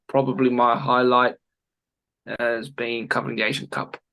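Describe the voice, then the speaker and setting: This man speaks at a moderate pace with a medium-pitched voice. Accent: Australian. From Australia, Sydney. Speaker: former goalkeeper and football analyst. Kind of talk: interview. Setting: video call. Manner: halting, many fillers.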